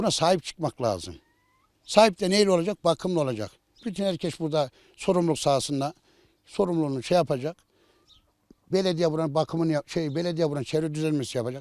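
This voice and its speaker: Speaking at a very fast pace yet with long, frequent pauses, a man uses fairly high pitch and ordinary pitch variation in a dry, close sound with no echo. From Central Anatolia, Ankara countryside. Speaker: village headman. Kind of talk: interview.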